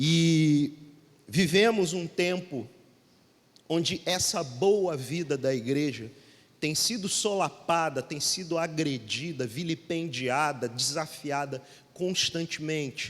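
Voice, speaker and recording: A man with a Rio de Janeiro accent speaks at a very slow pace. His pitch is fairly high, with ordinary variation. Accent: carioca. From Rio de Janeiro, Brazil. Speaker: pastor. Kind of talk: sermon.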